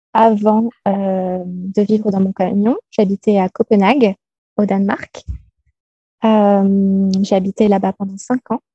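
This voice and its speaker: A woman of medium pitch talks very slowly in a dark, mellow, somewhat breathy tone, flat and monotone, with a dry, close sound and no echo. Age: 30s. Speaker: digital nomad entrepreneur. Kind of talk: interview. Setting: video call.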